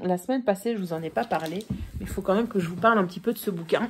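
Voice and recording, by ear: A woman's put-on character voice, raspy and hoarse, medium in pitch with ordinary pitch variation, at a very fast pace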